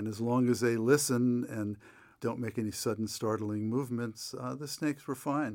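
With an ordinary speaking voice and a medium pitch, a man talks at a moderate pace with fairly even intonation on a very clean recording with a silent background. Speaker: nature writer and author. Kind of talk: read-aloud narration from his book.

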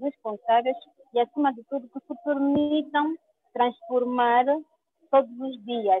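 The intonation is fairly level. A woman speaks at a middling speed. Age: 30s. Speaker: cancer survivor and activist. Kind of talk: interview. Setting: video call.

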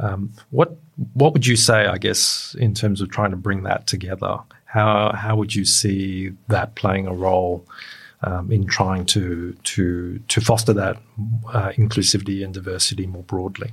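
Recorded very cleanly over a silent background, a man speaks at a fairly slow pace in a somewhat breathy, fairly low-pitched voice with fairly even intonation. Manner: halting.

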